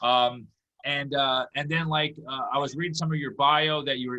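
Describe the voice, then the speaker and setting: This man has an American accent and a fairly high pitch. He speaks at a fairly quick pace with fairly even intonation. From USA. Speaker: comedy podcast host. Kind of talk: interview. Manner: halting.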